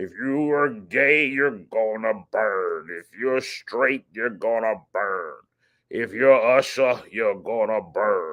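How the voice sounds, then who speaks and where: A man uses a put-on character voice at medium pitch with ordinary pitch variation. He goes at a very slow pace, and his loudness swings widely. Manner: preachy, fire-and-brimstone.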